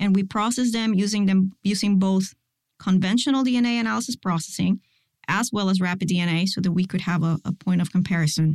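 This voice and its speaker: A somewhat breathy woman talks at a very fast pace, her loudness very even and her pitch medium with ordinary variation. The sound is dry and close with no echo. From Puerto Rico. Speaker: forensic DNA scientist. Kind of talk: interview.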